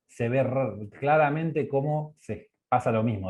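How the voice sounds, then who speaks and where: This man's medium-pitched voice moves fairly slowly with lively intonation. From Argentina. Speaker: energy economics researcher. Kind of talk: online course presentation. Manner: halting, with many fillers.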